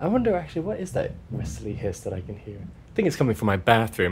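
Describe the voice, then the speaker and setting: Talking at a very fast pace, a man uses a medium pitch with very wide swings. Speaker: field recordist and musician. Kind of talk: interview. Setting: at home in his kitchen.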